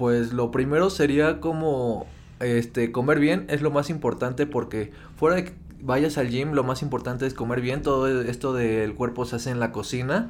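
Medium pitch from a man with a plain, everyday voice, moderate pace and ordinary pitch variation. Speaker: podcast co-host, online entrepreneur. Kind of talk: casual chat.

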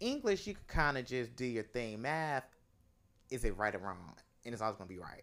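Speaking at a fairly quick pace, a man swings very widely in pitch and leaves long, frequent pauses. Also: medium pitch for a man, big swings in loudness. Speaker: costume designer. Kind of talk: casual chat. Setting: home studio.

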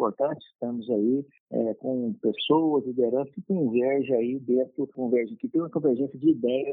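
This is a plain, everyday voice at a moderate pace. It has ordinary pitch variation. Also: man. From Brazil, Anápolis, Goiás. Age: 40s. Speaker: dentist and mayoral candidate. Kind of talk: interview.

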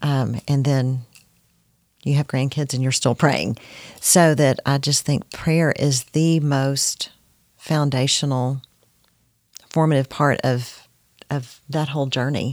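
A woman speaks very slowly at a very deep, low pitch, with monotone, flat intonation and long, frequent pauses. The sound is dry and close with no echo. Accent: Texan. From Texas (Corsicana). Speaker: guest, mother and grandmother. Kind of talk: casual faith interview.

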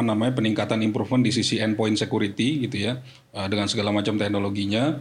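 Speaking at a very fast pace, a man keeps fairly even intonation. Audible room echo and noticeable background noise are heard. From Jakarta, Indonesia. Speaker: corporate IT manager. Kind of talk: podcast interview.

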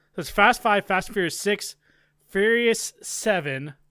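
A man's raised, projected voice with a bright, sharp tone comes at a fairly slow pace in a very clean recording with a silent background. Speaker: podcast co-host and streamer. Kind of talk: casual chat.

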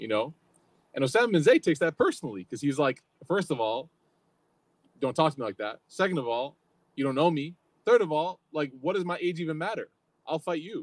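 Fairly high-pitched male voice at a fairly quick pace, with lively intonation, long, frequent pauses and a dry, close sound with no echo. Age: 30s. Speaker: religious teacher. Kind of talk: lecture. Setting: outdoors with live audience. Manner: casual, conversational.

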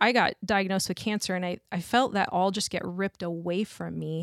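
A woman's normal speaking voice, medium in pitch with ordinary pitch variation, at a moderate pace on a very clean recording with a silent background. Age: 40s. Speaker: guest sharing personal faith story. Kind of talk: testimony.

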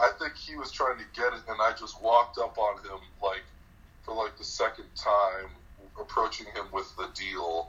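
At a moderate pace, a man speaks with a fairly low pitch and a bright, sharp tone. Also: ordinary pitch variation.

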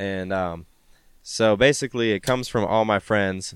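With an American accent, a man speaks at a moderate pace and fairly low pitch in a dry, close sound with no echo, on a very clean recording with a silent background. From Spokane, Washington, US Pacific Northwest. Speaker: rapper. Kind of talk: casual chat. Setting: outdoors on a stoop.

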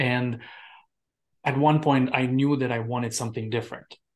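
A man with a Romanian accent speaks at a medium pitch with fairly even intonation against a quiet background. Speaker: immigrant mindset coach. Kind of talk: interview conversation.

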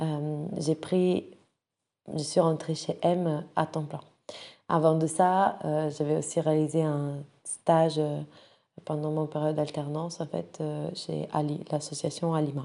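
A woman speaks in a very deep, low pitch at a very slow pace, with long, frequent pauses. Her intonation is monotone and flat, and her tone is dark and mellow. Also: quiet background. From Italy (Rome). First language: Italian (speaking French). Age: 20s. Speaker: nonprofit director. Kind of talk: personal profile monologue. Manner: hesitant, many fillers.

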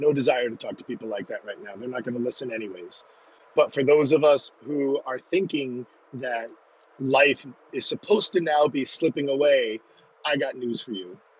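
A man's voice shows big swings in loudness and ordinary pitch variation. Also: medium pitch for a man, moderate pace. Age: 40s. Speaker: podcast host and fitness coach. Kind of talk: casual monologue. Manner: rambling.

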